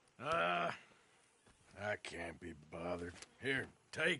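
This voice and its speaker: A man uses a put-on character voice, very deep and low-pitched and raspy. He talks at a fairly slow pace with ordinary pitch variation. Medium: video game. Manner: gruff, laconic.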